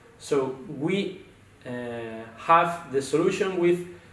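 Audible room echo surrounds a man speaking at a high pitch with ordinary pitch variation. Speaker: presenter. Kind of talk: product presentation. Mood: calm, explanatory. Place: studio.

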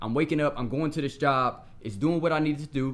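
A man with an American accent talks at a very fast pace in a fairly high pitch, his intonation fairly even. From Ohio (Akron). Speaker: motivational speaker and entrepreneur. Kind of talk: interview. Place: home room. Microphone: studio mic.

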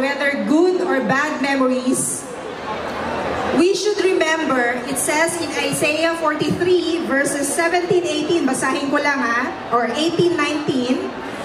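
A woman with a high pitch speaks at a very slow pace over noticeable background noise. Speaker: guest. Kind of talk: speech. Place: stage. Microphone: handheld.

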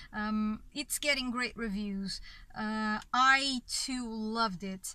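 In a Portuguese accent, a woman speaks with fairly even intonation in a dry sound with no echo. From Portugal. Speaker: film reviewer. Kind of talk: video review monologue. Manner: halting, many fillers. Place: car. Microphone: phone near.

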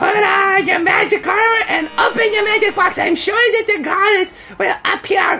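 Over clear background music, a man does a put-on character voice at an extremely high pitch, keeping a moderate pace with hardly any pauses. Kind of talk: mock-dramatic game dialogue reading. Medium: game stream. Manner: solemn, mock-earnest.

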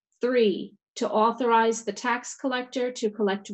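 Against a quiet background, a woman speaks at a fairly slow pace. Her intonation is fairly even. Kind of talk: formal reading of meeting notice. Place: home room. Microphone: video call.

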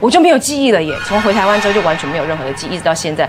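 Clear background music behind a female voice. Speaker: talk show guest. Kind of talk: storytelling on a TV talk show. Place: studio. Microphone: lapel.

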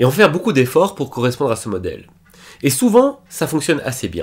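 A man's pitch swings very widely. Behind him, things stay quiet. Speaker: book reviewer and life coach; book reviewer. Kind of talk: book summary video. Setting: recording at computer. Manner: fast; casual, self-correcting. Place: home room.

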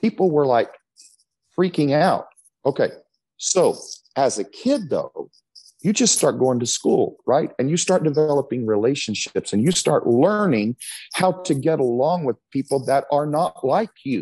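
With a dark, mellow tone and lively intonation, a man speaks at a fairly slow pace. His loudness stays very even against a quiet background. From Texas. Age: 50s. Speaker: pastor. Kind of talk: interview. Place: church. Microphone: earbuds.

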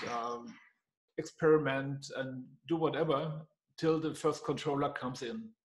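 At a fairly slow pace, a man talks in an ordinary speaking voice, fairly high in pitch for a man, with ordinary pitch variation. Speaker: consultant. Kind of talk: casual discussion.

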